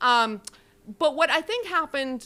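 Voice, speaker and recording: A woman with a Canadian accent speaks loudly, her tone bright and sharp and her intonation lively. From Canada, Saskatchewan. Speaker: professor. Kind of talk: academic Q&A answer.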